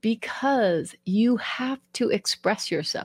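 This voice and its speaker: In a somewhat breathy voice with an American accent, a woman speaks at a fairly high pitch, recorded very cleanly against a silent background with a dry, close sound and no echo. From Denver, Colorado. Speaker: podcast host and author. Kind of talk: reading aloud.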